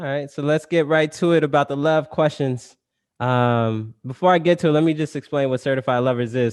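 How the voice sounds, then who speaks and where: A man with an ordinary speaking voice and a fairly high pitch talks at a fairly quick pace with ordinary pitch variation, in a dry, close sound with no echo. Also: quiet background. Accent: American. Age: 30s. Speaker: podcast host. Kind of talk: casual chat.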